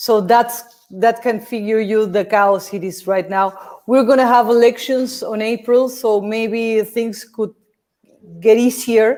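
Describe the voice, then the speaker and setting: This woman speaks at a fairly slow pace. Her voice sits fairly high. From Peru. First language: Spanish. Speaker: film director. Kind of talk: Q&A interview. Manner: halting.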